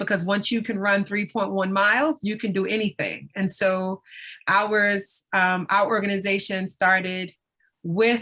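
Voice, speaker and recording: Her tone bright and sharp, a woman speaks in a medium pitch at a fairly slow pace. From Brooklyn, New York (Brownsville). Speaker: community organization co-founder. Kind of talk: panel discussion.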